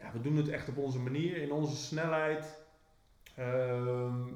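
Noticeable background noise and audible room echo surround a man whose pitch sits fairly high. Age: 40s. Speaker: business owner, podcast co-host. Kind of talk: casual chat. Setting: office. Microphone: cheap microphone.

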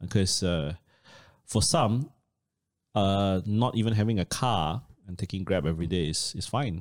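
A man with a Malaysian accent talks at a fairly low pitch and a fairly slow pace, with lively intonation. The recording is very clean, with a silent background. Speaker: personal finance educator. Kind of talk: casual chat.

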